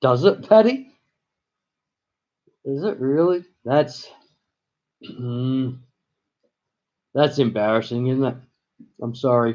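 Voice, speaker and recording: A dark, mellow tone at a very slow pace, broken by long, frequent pauses. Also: man, medium pitch for a man, ordinary pitch variation. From Australia, partly raised in Virginia, US. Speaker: live streamer. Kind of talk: casual live-stream chat. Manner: halting.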